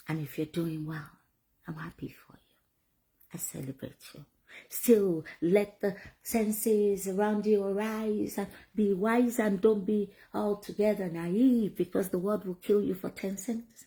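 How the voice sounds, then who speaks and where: Somewhat breathy, with a dark, mellow tone, a woman of medium pitch speaks at a fairly slow pace with ordinary pitch variation and big swings in loudness. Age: 50s. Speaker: vlogger. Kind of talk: motivational talk. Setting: at home.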